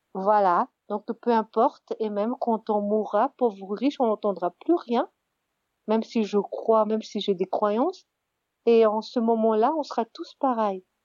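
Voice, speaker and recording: Recorded with a dry, close sound and no echo, a woman speaks fairly slowly at fairly high pitch with ordinary pitch variation. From Madagascar. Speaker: interviewee sharing her vision. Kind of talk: personal reflection monologue. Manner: halting, many hesitations and repetitions.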